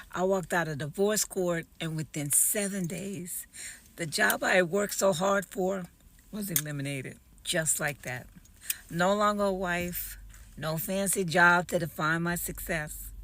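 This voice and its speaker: A woman's ordinary speaking voice, fairly low in pitch with ordinary pitch variation, at a fairly slow pace. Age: 60s. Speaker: author and entrepreneur. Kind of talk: personal testimony video.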